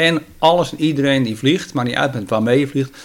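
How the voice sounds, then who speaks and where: At a fairly quick pace and with ordinary pitch variation, this is a normal speaking voice. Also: man. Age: 50s. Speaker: radio amateur and model aircraft hobbyist. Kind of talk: casual interview. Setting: at guest's home.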